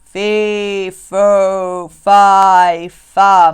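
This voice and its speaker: A put-on character voice at middle pitch. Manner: shouting.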